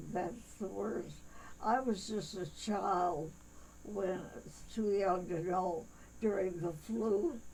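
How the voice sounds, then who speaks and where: A woman's very slow, fairly even delivery with long, frequent pauses and audible room echo. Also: medium pitch for a woman. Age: 90s. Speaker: church elder being interviewed. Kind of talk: interview. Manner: halting.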